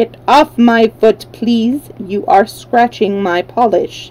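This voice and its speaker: Using a robotic, put-on character voice, a woman speaks at a very slow pace and a fairly high pitch. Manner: curt, polite complaint.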